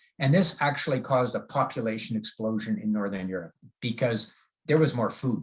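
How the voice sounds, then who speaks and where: Talking at a fairly quick pace, the man sounds somewhat breathy. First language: German. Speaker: agronomy professor. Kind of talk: lecture. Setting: video call. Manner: halting, many fillers.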